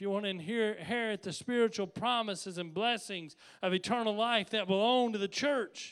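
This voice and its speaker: A man speaks with a high pitch. The recording is very clean, with a silent background. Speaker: pastor. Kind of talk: sermon.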